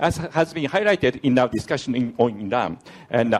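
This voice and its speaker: Speaking at a fairly quick pace, a man with a Japanese accent has a medium pitch. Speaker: diplomat asking question from audience. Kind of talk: audience question at conference. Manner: halting, many fillers.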